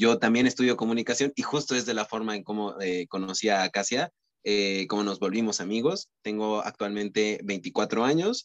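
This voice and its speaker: A man with a fairly low pitch talks at a moderate pace with hardly any pauses and ordinary pitch variation. It is a normal speaking voice in a dry, close sound with no echo. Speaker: podcast co-host, communication student. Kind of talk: casual chat.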